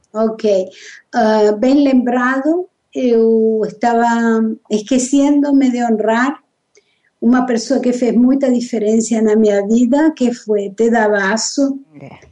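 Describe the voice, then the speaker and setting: A woman speaks very slowly in a fairly high voice with a dark, mellow tone. Her pitch moves in an ordinary way. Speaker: therapist. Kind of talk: interview.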